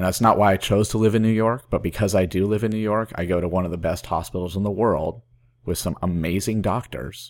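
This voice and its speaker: A man with a fairly low pitch uses an ordinary speaking voice at a fairly quick pace, with ordinary pitch variation. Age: 30s. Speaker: podcast co-host with chronic kidney disease. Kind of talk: casual chat.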